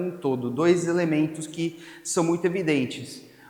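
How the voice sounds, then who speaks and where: A man with a fairly high voice speaks at a moderate pace, his pitch varying in an ordinary way. Room echo is audible and background noise is noticeable. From Spain. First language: Spanish (speaking Portuguese). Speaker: pastor. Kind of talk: sermon.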